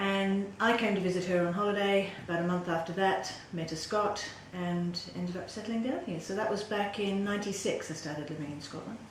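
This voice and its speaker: A woman with an Australian accent and a medium pitch talks fairly quickly with fairly even intonation, over noticeable background noise and audible room echo. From Western Australia (Perth). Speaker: political candidate. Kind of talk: interview.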